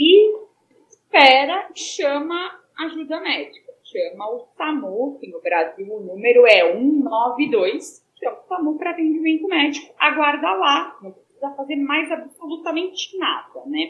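Speaking at a fairly slow pace, a woman with a high pitch shows very wide pitch swings and big swings in loudness. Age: 30s. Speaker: pediatrician and epilepsy patient. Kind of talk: interview.

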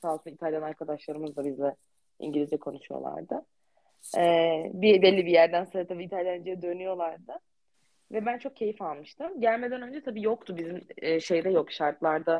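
A woman speaks at a moderate pace with ordinary pitch variation. Her tone is dark and mellow. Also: fairly low pitch for a woman. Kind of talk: casual chat.

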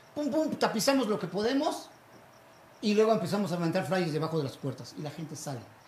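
A man speaks with lively intonation. Noticeable noise sits in the background. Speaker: street comedian. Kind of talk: casual chat. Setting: live show with small audience.

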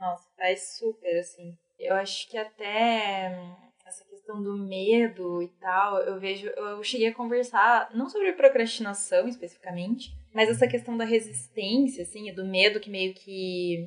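A woman talks in an ordinary speaking voice at a medium pitch and a fairly slow pace. Her pitch varies in an ordinary way while her loudness swings a lot. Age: 20s. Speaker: financial consultant. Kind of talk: casual chat.

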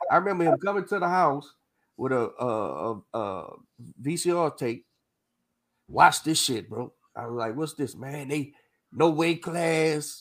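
Fairly high male voice with lively intonation, fairly slow pace and long, frequent pauses. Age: 40s. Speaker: boxing coach and podcast host. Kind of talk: casual chat. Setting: live stream.

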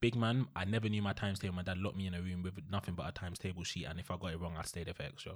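A man with a London accent talks at a very fast pace with hardly any pauses, his very deep, low pitch held in fairly even intonation. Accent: London Multicultural English. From East London. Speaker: podcast co-host. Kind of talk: casual chat.

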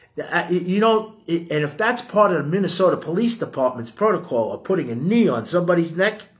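A man with a New York accent speaks at a high pitch with lively intonation. His tone is animated and his pace moderate. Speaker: podcast host. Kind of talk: casual rant. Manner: halting repetitions.

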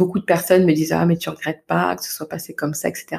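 Her voice has a dark, mellow tone and sits at a fairly low pitch for a woman. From Paris region, France. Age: 30s. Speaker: parenting coach. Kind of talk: interview. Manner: soft-spoken.

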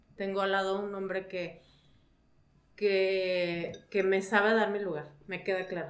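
The delivery is very slow, with monotone, flat intonation and audible room echo. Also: woman, medium pitch for a woman. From Mexico, León, Guanajuato. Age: 40s. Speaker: mother. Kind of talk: casual chat.

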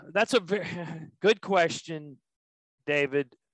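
Lively intonation marks this man's fairly high voice. The sound is dry and close, with no echo. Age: 50s. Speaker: packaging sales manager. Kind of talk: interview. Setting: home office.

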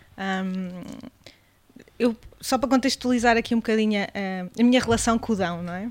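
A fairly high-pitched woman talks at a moderate pace with ordinary pitch variation and long, frequent pauses. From Portugal, Beira Alta (Mangualde, near Viseu). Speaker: gastronome, hospitality professional. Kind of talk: casual chat over wine. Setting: seated at a table with hosts.

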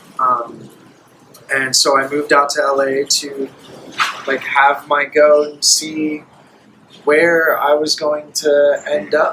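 Noticeable background noise sits under a very slow, monotone, flat delivery with long, frequent pauses in an American accent. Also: man, fairly high pitch for a man. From New York, then Florida. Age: 20s. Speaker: actor and voice actor. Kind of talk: casual chat.

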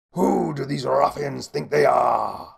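Doing a put-on character voice, a man speaks at a medium pitch with vocal fry, a husky, rough edge and ordinary pitch variation. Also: slow pace.

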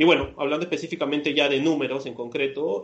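A man's monotone, flat intonation. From Peru. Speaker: startup founder. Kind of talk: interview.

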